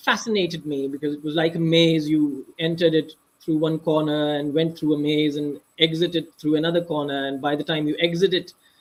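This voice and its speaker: The speaker has a Pakistani accent and talks at a fairly quick pace. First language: Urdu. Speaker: author. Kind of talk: interview. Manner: halting.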